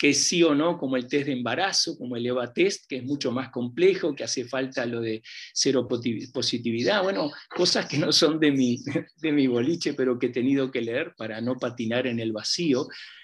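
Speaking at a moderate pace, a man uses a normal speaking voice at medium pitch with ordinary pitch variation. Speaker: semiotics professor. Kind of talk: seminar talk.

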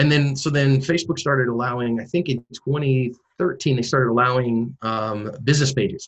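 A somewhat breathy man with an American accent, medium in pitch, at a moderate pace with hardly any pauses. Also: ordinary pitch variation. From US West Coast, San Francisco Bay Area. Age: 40s. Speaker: self-defense instructor and former pastor. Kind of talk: interview.

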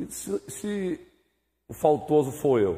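A man with a fairly high pitch speaks with lively intonation and a somewhat breathy quality on a very clean recording with a silent background. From Brazilian Northeast (Bahia/Pernambuco). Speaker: pastor teaching Sunday school. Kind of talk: Bible class teaching with discussion. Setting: church.

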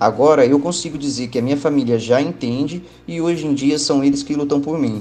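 A man speaks in an ordinary speaking voice, his fairly high pitch holding a fairly even intonation at a fairly quick pace. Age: 30s. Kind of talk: testimony.

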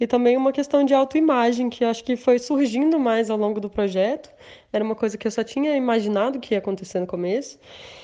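Very fast, a woman talks in a high pitch with ordinary pitch variation. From Brasília, Brazil. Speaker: textile artist. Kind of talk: interview.

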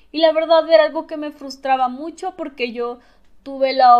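The recording is very clean, and the background is silent. A woman talks at a moderate pace, her pitch varying in an ordinary way. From Mexico, Tabasco. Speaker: podcaster. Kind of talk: personal monologue. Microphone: new microphone.

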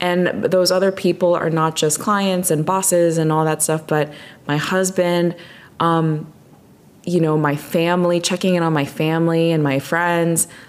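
Monotone, flat intonation at a moderate pace, with very even loudness. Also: woman, fairly low pitch for a woman. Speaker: music marketing executive. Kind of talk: casual chat.

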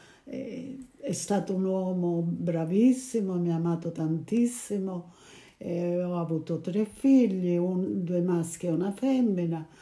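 This voice moves at a very slow pace with ordinary pitch variation over noticeable background noise. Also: woman, fairly low pitch for a woman. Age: 80s+. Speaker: grandmother. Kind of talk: interview. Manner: halting.

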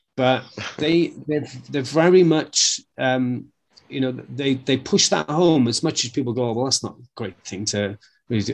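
A man with a Welsh accent speaks at a medium pitch, his pitch varying by an ordinary amount. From Wales. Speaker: martial arts instructor. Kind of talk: casual chat.

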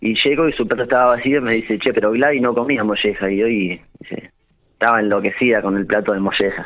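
Talking at a fairly quick pace, a man has a plain, everyday voice with a medium pitch and ordinary pitch variation. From Argentina, La Pampa (General Pico). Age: 30s. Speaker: restaurant owner. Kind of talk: radio interview.

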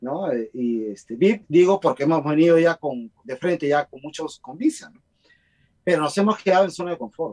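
Over a dry, close sound with no echo, a man talks at a moderate pace in a fairly high pitch, his intonation lively and his loudness swinging widely. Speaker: guest. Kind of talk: casual chat. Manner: talkative.

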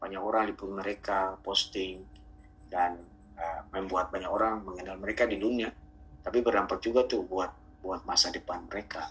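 Noticeable background noise surrounds a man speaking at a moderate pace, his fairly low voice showing ordinary pitch variation. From Ambon, Maluku. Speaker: community founder and ukulele teacher. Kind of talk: casual interview. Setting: remote call.

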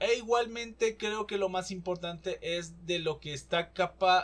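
A man speaking at a moderate pace. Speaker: podcast host. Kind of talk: casual solo commentary.

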